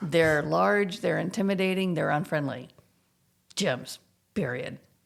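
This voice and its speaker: A woman's fairly low voice with vocal fry, lively intonation and a fairly slow pace. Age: 60s. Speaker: gym client. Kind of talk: casual interview.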